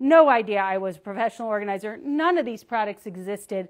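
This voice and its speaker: Against a quiet background, a woman talks at a fairly quick pace. Her intonation is lively. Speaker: founder and organizing coach. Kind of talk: casual livestream presentation. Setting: live video stream. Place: studio.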